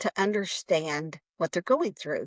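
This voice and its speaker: Speaking at a fairly slow pace with lively intonation, a woman has an unremarkable speaking voice of medium pitch. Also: dry, close sound with no echo. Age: 60s. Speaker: nonprofit founder. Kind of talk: interview.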